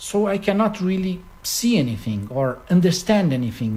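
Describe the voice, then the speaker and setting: Speaking at a fairly slow pace with a Portuguese accent, a man uses a high pitch and lively intonation. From Brazil. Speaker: concert pianist. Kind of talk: interview. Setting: at his home.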